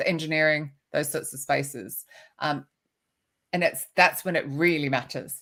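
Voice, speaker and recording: An Australian accent carries a woman's very deep, low pitch at a moderate pace. The recording is very clean, with a silent background. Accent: Australian, noticeable. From Australia, Sydney. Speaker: recruitment author and keynote speaker. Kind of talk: podcast interview.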